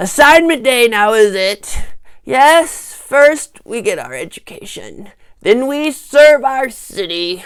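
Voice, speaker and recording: A put-on character voice with a pompous tone, pitched fairly high. It moves at a fairly slow pace. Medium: read story. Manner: pompous, slow.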